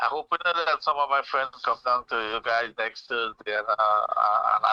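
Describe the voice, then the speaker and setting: The recording has a dry, close sound with no echo. Speech moves at a moderate pace. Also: man. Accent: Trinidadian. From Trinidad. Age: 60s. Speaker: caller. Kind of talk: call-in radio chat. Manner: halting, repeats words.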